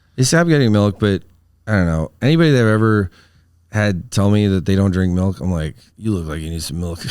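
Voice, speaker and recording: A man talks at a fairly quick pace with fairly low pitch and lively intonation. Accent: Wisconsin. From Wisconsin, US Midwest. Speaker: comedian. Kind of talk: casual chat. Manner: words mushed together.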